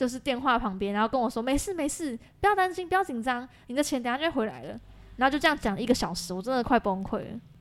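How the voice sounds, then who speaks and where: Speaking at a very fast pace, a woman's high voice swings very widely in pitch. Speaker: graduate student, scam victim. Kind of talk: casual chat. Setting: office.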